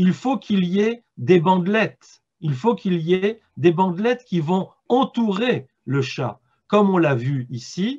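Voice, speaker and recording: At a very slow pace, a man speaks in a high pitch with very wide pitch swings. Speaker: philosopher and author giving a talk. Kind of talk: lecture. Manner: halting, with repetitions.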